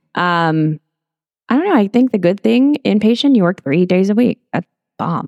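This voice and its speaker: An unremarkable speaking voice with an American accent talks at a moderate pace with lively intonation, the sound dry and close with no echo. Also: woman, medium pitch for a woman. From Texas, Corpus Christi area. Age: 30s. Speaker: travel nurse. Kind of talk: casual interview chat.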